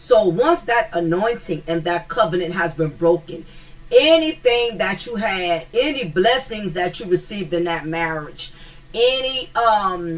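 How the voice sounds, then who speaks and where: Noticeable background noise sits behind a woman speaking at a medium pitch. She talks at a fairly slow pace with lively intonation. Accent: American. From US South. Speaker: commentary YouTuber. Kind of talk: casual commentary monologue. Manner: animated, with repeated fillers.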